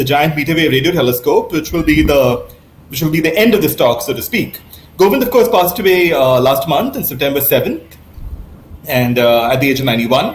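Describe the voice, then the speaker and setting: Noticeable background noise and audible room echo fill this recording. A man with fairly high pitch talks at a fairly quick pace with lively intonation. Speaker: astronomy professor. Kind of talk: lecture. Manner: fast; hesitant, many fillers.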